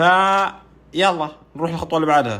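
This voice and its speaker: This man's voice sits fairly high. Its pitch rises and falls in an ordinary way. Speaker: YouTuber doing a Rubik's cube challenge. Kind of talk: casual vlog narration.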